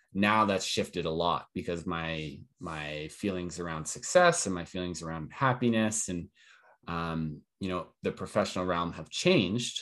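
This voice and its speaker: In a Western Canadian accent, a man with a very deep, low pitch and ordinary pitch variation speaks at a moderate pace on a very clean recording with a silent background. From Calgary, Canada. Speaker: entrepreneur. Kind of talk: casual chat.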